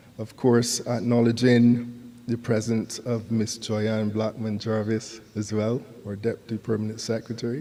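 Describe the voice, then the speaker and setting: A man speaks at a fairly slow pace with hardly any pauses. His dark, mellow voice sits at medium pitch with monotone, flat intonation. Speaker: conference speaker, institution official. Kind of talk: formal speech. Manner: formal.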